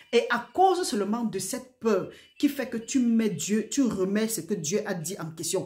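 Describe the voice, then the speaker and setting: With audible room echo around her, a woman speaks fairly slowly in a somewhat breathy, fairly high voice that has a dark, mellow tone and lively intonation. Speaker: preacher. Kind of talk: sermon. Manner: soft-spoken.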